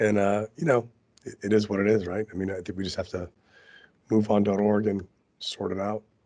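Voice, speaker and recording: A man with a dark, mellow tone speaks at a fairly low pitch and a fairly quick pace. His intonation stays fairly even, with long, frequent pauses. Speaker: podcast co-host. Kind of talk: casual chat. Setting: remote call.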